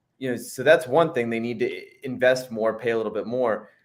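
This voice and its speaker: A man with an American accent talks at a fairly quick pace in an ordinary speaking voice, his medium pitch showing ordinary pitch variation. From western Pennsylvania. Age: 30s. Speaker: sports journalist. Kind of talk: casual sports chat.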